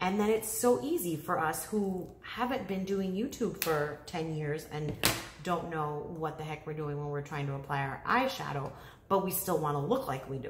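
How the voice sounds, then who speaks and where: At a moderate pace, a woman with a very deep, low pitch speaks with lively intonation, with audible room echo and light background noise. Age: 30s. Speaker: beauty YouTuber. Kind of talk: casual vlog talk to camera. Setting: home living room, talking to camera. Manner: chatty, rambling with fillers. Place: home room. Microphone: phone near.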